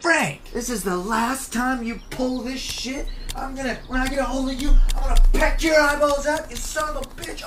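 Over clear background noise, a high-pitched, put-on character voice moves along at a moderate pace. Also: female-sounding voice. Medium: voice reel. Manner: furious, shouting threats.

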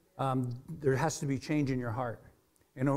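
The pitch of this man's voice moves in an ordinary way. He keeps to a moderate pace. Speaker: preacher. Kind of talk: sermon. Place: church.

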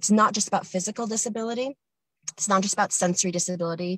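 A woman with a North American accent, somewhat breathy, with ordinary pitch variation and a dry, close sound with no echo. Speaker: communication access professional. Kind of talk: committee submission. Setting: in a car, video call.

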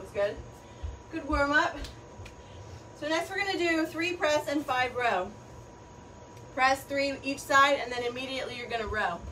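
A woman's raised, projected voice, high in pitch, upbeat in tone and lively in intonation, with long, frequent pauses over light background noise. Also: moderate pace. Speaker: fitness instructor. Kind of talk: live-streamed kettlebell workout class, leading and coaching. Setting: live stream to an online class. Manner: upbeat, encouraging coach; calls out countdowns ('three, two, one') and cues; short, clipped cues with pauses for breathing between sets. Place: garage. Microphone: camera far.

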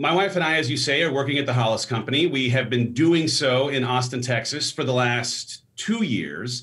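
The speech moves at a moderate pace with hardly any pauses. Pitch varies in an ordinary way against a quiet background. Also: man. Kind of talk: interview answer. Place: home room. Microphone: studio mic.

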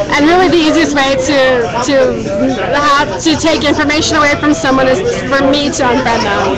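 Crowd noise fills the background as a woman speaks at a fairly quick pace. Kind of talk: casual bar conversation. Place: bar.

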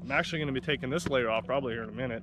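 A man's voice sounds dry, with no echo. Noticeable background noise runs behind him. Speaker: fishing vlogger. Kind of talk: casual vlog chat. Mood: relaxed, upbeat. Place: boat. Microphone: phone near.

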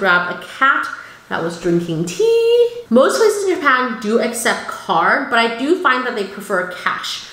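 With audible room echo around her, a woman speaks at a fairly high pitch in an animated tone with lively intonation. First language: not English. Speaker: cooking YouTuber. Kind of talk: haul video talk. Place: home room.

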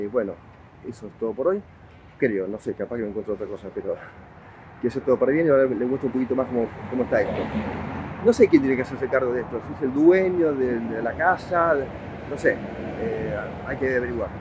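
Over noticeable background noise, a man talks at a very fast pace with lively intonation and long, frequent pauses, the sound dry with no echo. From Argentina. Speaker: citizen video blogger, activist. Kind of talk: street interview and vlog monologue. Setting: outdoors on a city sidewalk. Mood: cheerful, relaxed. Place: street. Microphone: phone near.

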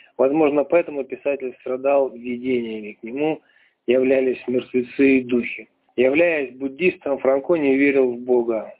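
Here a man speaks at a medium pitch and moderate pace. His intonation is fairly even.

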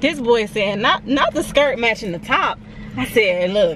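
Against noticeable background noise, a woman talks in an animated tone at a fairly high pitch, with very wide pitch swings. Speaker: beauty vlogger and freelance makeup artist. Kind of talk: casual vlog monologue. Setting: on the go, salon. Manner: casual, chatty, animated.

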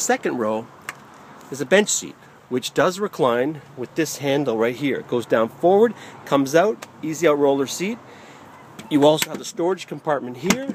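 A man speaks at a moderate pace, with long pauses that come often. The sound is dry with no echo, and there is light background noise. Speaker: car salesperson. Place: car. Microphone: phone near.

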